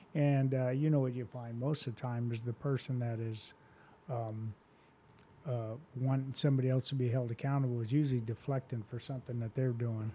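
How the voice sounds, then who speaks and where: A man's somewhat breathy, medium-pitched voice with a dark, mellow tone, an American accent, monotone, flat intonation and a fairly quick pace. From US Southwest desert. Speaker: fire chief. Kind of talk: casual interview.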